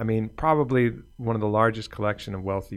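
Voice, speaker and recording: An unremarkable speaking voice from a man, fairly low in pitch with fairly even intonation at a fairly quick pace, in a very clean recording with a silent background. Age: 50s. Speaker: podcast host. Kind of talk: casual chat.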